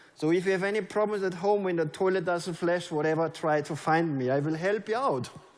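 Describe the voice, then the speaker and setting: Speaking with a German accent, a man uses a high pitch, ordinary pitch variation and a moderate pace. His tone is animated, and room echo is audible. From Germany. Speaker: network marketing leader. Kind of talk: motivational speech. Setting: stage with audience.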